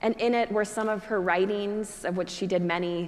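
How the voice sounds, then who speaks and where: A woman's flat, monotone intonation comes through with noticeable background noise. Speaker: Episcopal priest. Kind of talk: church sermon.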